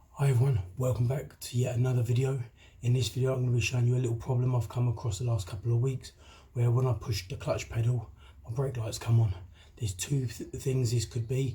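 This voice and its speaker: A somewhat breathy man's voice at medium pitch, very fast, with a dark, mellow tone and fairly even intonation. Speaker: DIY car mechanic. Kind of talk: how-to tutorial talk to camera. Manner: casual, chatty.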